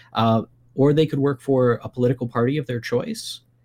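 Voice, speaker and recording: A man's a plain, everyday voice at medium pitch with ordinary pitch variation, dry and close with no echo, on a very clean recording with a silent background. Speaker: political science professor. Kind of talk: radio interview.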